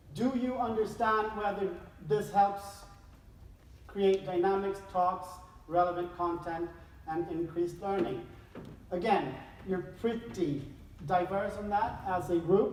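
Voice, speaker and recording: With noticeable background noise and audible room echo, a woman talks at a fairly slow pace with long, frequent pauses, her medium pitch showing ordinary variation. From Sweden. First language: Swedish. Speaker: behavioral scientist and speaker. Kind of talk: conference talk. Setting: stage with audience.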